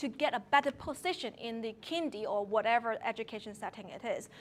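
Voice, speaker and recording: A woman with a Hong Kong accent, lively intonation and a moderate pace. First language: Cantonese. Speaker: early childhood educator. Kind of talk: talk to seminar audience.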